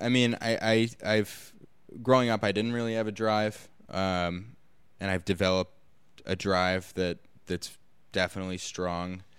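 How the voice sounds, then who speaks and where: Speaking with an American accent, a man uses a fairly low pitch and fairly even intonation at a fairly slow pace. Long, frequent pauses break up his speech on a very clean recording with a silent background. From Los Angeles. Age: 20s. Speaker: actor and producer. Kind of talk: casual interview chat. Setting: studio.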